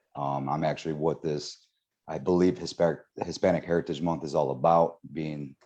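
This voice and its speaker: With an American accent, the speaker has a dark, mellow tone and a fairly quick pace. The intonation stays monotone and flat. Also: man. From Aurora, Illinois, US Midwest. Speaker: city streets official. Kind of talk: panel discussion.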